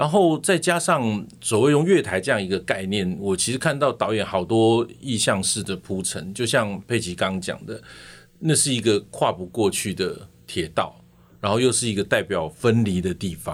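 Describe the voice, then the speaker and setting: A man with a normal speaking voice and a fairly low pitch talks at a moderate pace with lively intonation, in a very clean recording with a silent background. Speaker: podcast host and actor. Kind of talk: casual interview chat.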